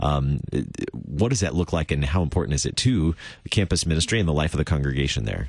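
A man's very deep, low voice with vocal fry, at a very fast pace. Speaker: radio host. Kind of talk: radio show conversation.

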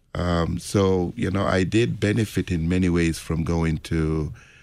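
The speech moves at a very slow pace. The recording is very clean, with a silent background. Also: man. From Jamaica. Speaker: Lutheran pastor. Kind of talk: casual radio conversation.

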